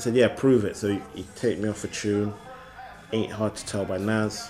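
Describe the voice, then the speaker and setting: Music plays in the background as a man talks at a moderate pace. His pitch is fairly low and his intonation is monotone and flat. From Bristol, England. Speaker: rapper. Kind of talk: interview. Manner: casual, halting with fillers.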